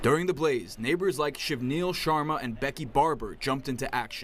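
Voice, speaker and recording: Fairly quick in pace, a man talks in an unremarkable speaking voice. His fairly high pitch shows ordinary variation. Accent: American. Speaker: broadcast news anchor and reporter. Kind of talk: TV news package voiceover.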